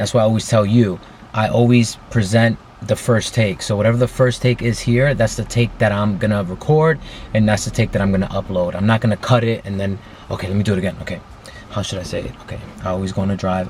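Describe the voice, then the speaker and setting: Noticeable background noise accompanies this man. He talks very fast at a fairly low pitch. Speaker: vlogger. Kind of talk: casual vlog monologue. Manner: stutters, halting; excited.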